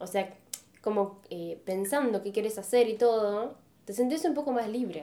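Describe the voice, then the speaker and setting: A woman's fairly high pitch in a dark, mellow tone, with ordinary pitch variation at a moderate pace. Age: 20s. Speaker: podcast co-host. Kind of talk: casual chat.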